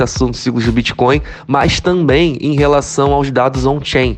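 Against noticeable background noise, a man talks at a fairly quick pace and medium pitch. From Brazil, Rio de Janeiro. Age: 30s. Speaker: crypto YouTuber. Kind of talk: interview. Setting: remote call.

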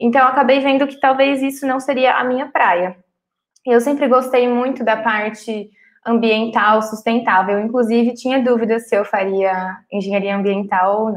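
A woman's unremarkable speaking voice, fairly high in pitch, with fairly even intonation and a moderate pace. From Cuiabá, Mato Grosso, Brazil. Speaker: chemical engineering student. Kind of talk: podcast interview.

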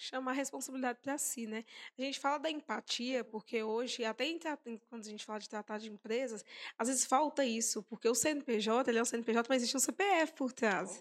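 A fairly quick pace with ordinary pitch variation and big swings in loudness, in a dry, close sound with no echo. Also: woman, high pitch for a woman. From Sete Lagoas, Minas Gerais, Brazil. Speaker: podcast host. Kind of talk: casual interview.

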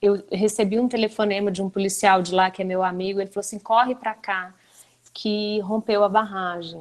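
The delivery comes at a moderate pace. The intonation is monotone and flat. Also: woman, medium pitch for a woman. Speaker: TV journalist and news anchor. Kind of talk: interview answers in a live webinar chat.

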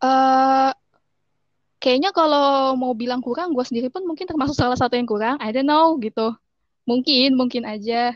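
A woman talks in a high voice. Her pitch variation is ordinary. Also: moderate pace. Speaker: English education graduate. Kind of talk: casual chat.

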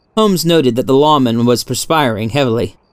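With ordinary pitch variation, the clip carries an unforced reading voice.

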